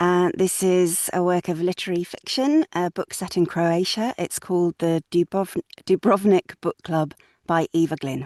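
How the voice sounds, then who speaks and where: At a moderate pace and with ordinary pitch variation, the voice comes through with a dry, close sound, no echo and a quiet background. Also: woman, fairly low pitch for a woman. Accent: Yorkshire. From northern England, Sheffield. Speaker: audiobook narrator. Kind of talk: reading aloud.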